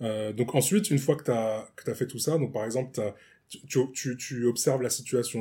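A man's medium-pitched, somewhat breathy voice with a dark, mellow tone, ordinary pitch variation and a fairly quick pace, on a very clean recording with a silent background. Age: 30s. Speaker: improv actor. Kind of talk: casual chat. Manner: halting.

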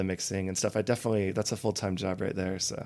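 A man with an American accent and a fairly low pitch has a normal speaking voice with fairly even intonation, heard on a very clean recording with a silent background. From Colorado, Loveland. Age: 30s. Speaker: reggae singer and songwriter. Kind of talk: casual chat.

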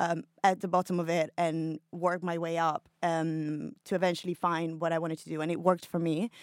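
In a very clean recording with a silent background and a dry, close sound with no echo, a woman with an Italian accent speaks at a moderate pace with a fairly low pitch and monotone, flat intonation. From Italy, Milan. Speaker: creative director. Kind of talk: audience question. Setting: studio.

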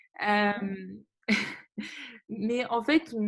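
A woman talks at a fairly high pitch. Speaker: podcast host. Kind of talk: interview.

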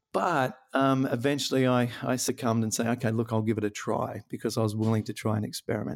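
With an Australian accent, a man speaks at a very fast pace with hardly any pauses, keeping his loudness very even and his pitch variation ordinary. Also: medium pitch for a man. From rural New South Wales, Australia. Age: 40s. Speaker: comedian and rheumatoid arthritis health coach. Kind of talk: interview.

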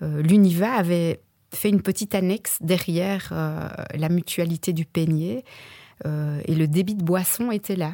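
The voice has a dark, mellow tone, a fairly slow pace and ordinary pitch variation, on a very clean recording with a silent background. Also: woman, fairly low pitch for a woman. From Belgium, Verviers. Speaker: actress and former opera singer. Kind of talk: radio interview.

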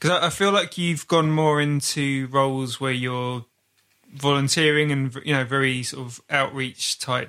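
On a very clean recording with a silent background, a man with a bright, sharp tone and fairly high pitch speaks at a moderate pace with fairly even intonation. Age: 40s. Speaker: podcast host. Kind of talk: casual interview chat. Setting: in a car. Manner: halting.

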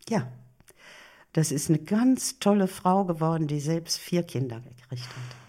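At a fairly slow pace with long, frequent pauses, a woman speaks in a very deep, low pitch with a dark, mellow tone and lively intonation. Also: big swings in loudness. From Germany, Ruhr area (Bochum). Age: 80s+. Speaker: elderly woman sharing life story. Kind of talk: interview.

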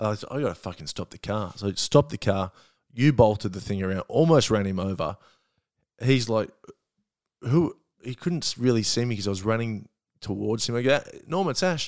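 A man with an Australian accent talks at a fairly quick pace with lively intonation, big swings in loudness, and long, frequent pauses. The very clean recording has a silent background and a dry, close sound with no echo. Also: medium pitch for a man. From Australia, Melbourne. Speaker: comedian. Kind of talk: casual chat. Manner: halting.

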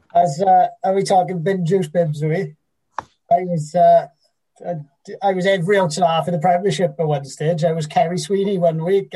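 A man speaks with a South Wales accent in a high pitch. His tone is dark and mellow, and his intonation is monotone and flat. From Wales (Port Talbot area). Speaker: podcast host and teacher. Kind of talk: casual chat.

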